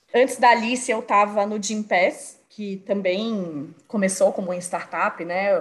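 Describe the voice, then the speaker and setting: This woman has a medium pitch and ordinary pitch variation. She talks at a fairly slow pace with hardly any pauses. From Brazil, Bahia (Salvador). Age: 30s. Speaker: marketing professional. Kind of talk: casual interview chat.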